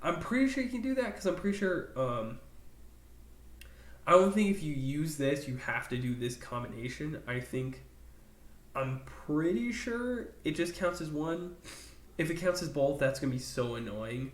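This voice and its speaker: A man speaks in a fairly high, somewhat breathy voice with very wide pitch swings and long, frequent pauses. Audible room echo surrounds him. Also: moderate pace. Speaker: gaming YouTuber. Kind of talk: casual commentary video. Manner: animated.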